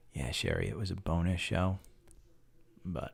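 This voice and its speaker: A man speaks softly. His voice sits very deep and low. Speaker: stock market live streamer. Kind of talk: live stream chat about stocks. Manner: soft, talking low.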